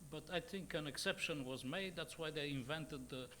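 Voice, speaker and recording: This man has a bright, sharp tone and speaks with a Bulgarian accent. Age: 60s. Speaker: journalist, editor. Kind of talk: panel discussion. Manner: halting, many fillers.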